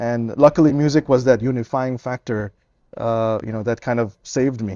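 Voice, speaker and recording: A man speaks with an Indian accent. His intonation stays fairly even. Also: medium pitch for a man, moderate pace. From India and Trinidad, then US. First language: Hindi. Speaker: tabla musician. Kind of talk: interview.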